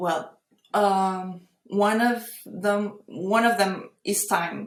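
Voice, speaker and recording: At a very slow pace, a woman with medium pitch speaks with fairly even intonation and very even loudness. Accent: Portuguese. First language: Portuguese. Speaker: AI artist. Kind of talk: interview conversation. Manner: halting.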